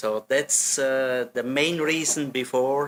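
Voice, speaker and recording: A man speaks in a Swiss German accent. His intonation is fairly even. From German-speaking Switzerland, Solothurn. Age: 60s. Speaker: hotel general manager. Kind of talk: interview. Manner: hesitant, with many fillers.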